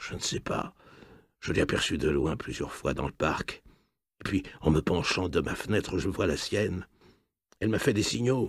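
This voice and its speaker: In a raspy, whispering put-on character voice, the speaker goes at a moderate pace with long, frequent pauses. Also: man. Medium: read story. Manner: low-voiced, whispering.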